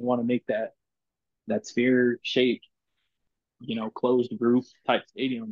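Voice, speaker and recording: Medium in pitch, the man's voice holds fairly even intonation. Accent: South Texas. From Corpus Christi, Texas. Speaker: football fan. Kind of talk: casual chat.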